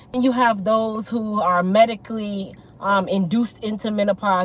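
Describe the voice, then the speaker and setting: A woman talks in a somewhat breathy voice, with dry sound and no echo. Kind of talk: live stream talk. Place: car. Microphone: phone near.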